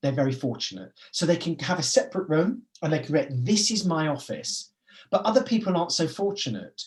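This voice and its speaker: At a fairly quick pace, a man with a British accent talks in a high pitch that swings very widely. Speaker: business forum managing director. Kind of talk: webinar presentation. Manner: fast; animated.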